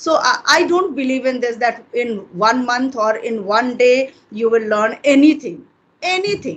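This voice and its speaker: A woman's high-pitched voice at a fairly slow pace. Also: lively intonation. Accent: Indian. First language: Hindi. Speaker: English teacher. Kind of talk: interview conversation.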